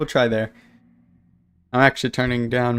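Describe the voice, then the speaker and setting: Very clean recording, silent background, a man at medium pitch with monotone, flat intonation. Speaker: gaming streamer. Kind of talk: casual live-stream chat. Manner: loud.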